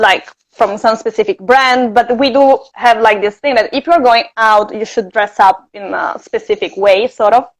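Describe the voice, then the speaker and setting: A woman with a slight Italian accent and fairly high pitch. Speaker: interview guest. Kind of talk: casual chat. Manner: hesitant, many fillers.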